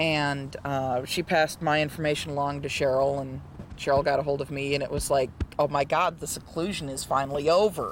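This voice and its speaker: A man's fairly high pitch at a fairly quick pace, with monotone, flat intonation. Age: 30s. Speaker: intersex retreat participant. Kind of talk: testimony. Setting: retreat meeting.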